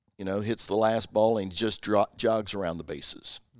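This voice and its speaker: A man speaks with a Southern US accent at a moderate pace and a fairly low pitch. His intonation stays fairly even, and the sound is dry and close with no echo. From US South (Kentucky). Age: 60s. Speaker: former pro baseball player and missionary. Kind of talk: interview testimony. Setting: guests' living room.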